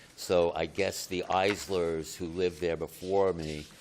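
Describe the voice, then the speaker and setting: A man speaks fairly slowly in a very deep, low voice with monotone, flat intonation, and there is noticeable background noise. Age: 70s. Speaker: homeowner applicant. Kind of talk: public hearing testimony. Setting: municipal board meeting.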